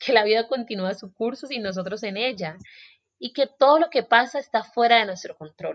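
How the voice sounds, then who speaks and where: Here is a woman with an ordinary speaking voice. She talks at a moderate pace with lively intonation. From Colombia, Buenaventura (Pacific coast, Valle del Cauca). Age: 20s. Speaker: podcast host and journalist. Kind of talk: solo podcast monologue. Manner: warm.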